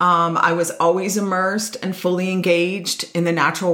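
With audible room echo, a woman speaks fairly slowly at a fairly low pitch. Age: 50s. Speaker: podcast host and nature facilitator, retired educator. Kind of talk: personal storytelling monologue.

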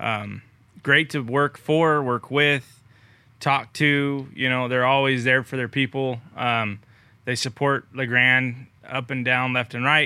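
A man with an American accent speaks very slowly in a monotone, flat intonation. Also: medium pitch for a man. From California Central Valley, Merced. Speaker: farmer. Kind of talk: casual chat.

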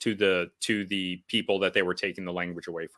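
A moderate-paced man's voice with an American accent, very clean recording, silent background. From United States. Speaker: podcast host. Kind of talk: interview discussion. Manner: casual, hesitant with fillers.

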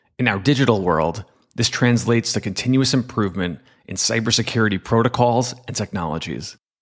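Here is a man with an ordinary speaking voice, medium in pitch, with ordinary pitch variation. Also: fairly quick pace, very clean recording, silent background. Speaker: cybersecurity executive and podcast host. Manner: measured, steady, formal; earnest, explanatory, with a storyteller's gravity.

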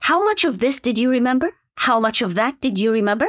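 A woman in an Arabic accent, high-pitched with very wide pitch swings, on a very clean recording with a silent background. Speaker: medical education professor. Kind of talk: interview. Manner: hesitant, many fillers.

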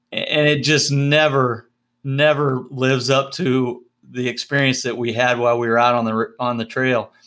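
Over a very clean recording with a silent background, a man talks in a plain, everyday voice. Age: 50s. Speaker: podcast co-host. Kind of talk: interview, casual chat.

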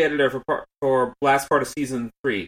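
This man has an ordinary speaking voice, fairly high in pitch, at a moderate pace. The sound is dry and close, without echo. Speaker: podcast host. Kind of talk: casual chat.

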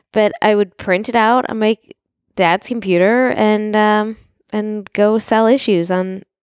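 A woman with a normal speaking voice talks at a fairly high pitch and a fairly slow pace. Her intonation is fairly even, and the sound is dry and close with no echo. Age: 40s. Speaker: real estate entrepreneur and podcast co-host. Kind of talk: casual chat.

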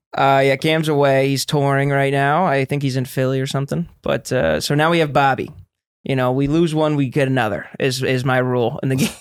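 A man speaks in a normal speaking voice, pitched fairly high. His intonation is fairly even and his loudness very even. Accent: American. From Florida, US. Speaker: podcast host, comedian. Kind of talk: casual chat. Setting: Austin.

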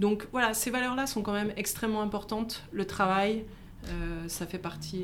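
A woman's fairly quick voice with ordinary pitch variation and audible room echo. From France, Haute-Savoie. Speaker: startup CEO. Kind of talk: interview. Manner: halting.

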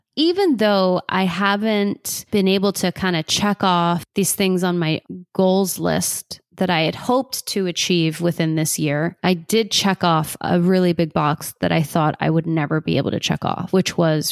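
A woman's normal speaking voice, fairly low-pitched, at a fairly slow pace with very even loudness, hardly any pauses, ordinary pitch variation, and a dry, close sound with no echo. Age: 30s. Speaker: podcast host and life coach. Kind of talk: personal reflection monologue.

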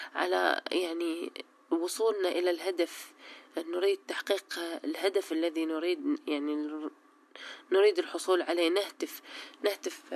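A woman with a Baghdadi accent speaks at a fairly slow pace with a fairly low pitch and ordinary pitch variation. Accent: Iraqi Arabic (Baghdadi). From Iraq, Baghdad. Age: 30s. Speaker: law graduate, activist. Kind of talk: conversational dialogue.

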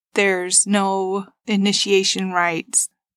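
In an American accent, a woman speaks at a medium pitch with monotone, flat intonation, in a very clean recording with a silent background and a dry, close sound with no echo. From Utah, US (Ferron, rural central Utah). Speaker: podcast host, stay-at-home mom. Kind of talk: personal testimony. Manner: earnest, with hesitations.

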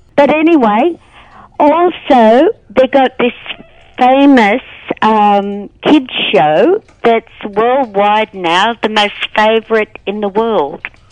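Speaking in an Australian accent, a woman uses a fairly high voice with lively intonation, going very slowly with long, frequent pauses. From rural Australia. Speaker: radio talkback caller. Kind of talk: talkback phone call. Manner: halting.

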